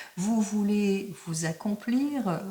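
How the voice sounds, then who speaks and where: A woman with a medium pitch speaks at a very slow pace with ordinary pitch variation, over noticeable background noise. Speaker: tarot card reader. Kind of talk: tarot reading video.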